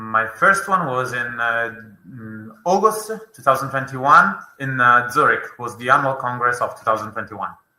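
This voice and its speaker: A man talks with ordinary pitch variation and big swings in loudness, and the room echo is audible. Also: medium pitch for a man, moderate pace. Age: 30s. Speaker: lawyer. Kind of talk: interview answers. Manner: halting, many fillers.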